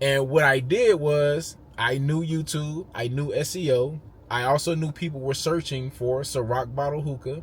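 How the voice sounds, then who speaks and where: A man with a fairly high pitch speaks at a moderate pace, somewhat breathy, with fairly even intonation. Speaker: YouTuber, entrepreneur. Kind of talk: casual talking-head monologue.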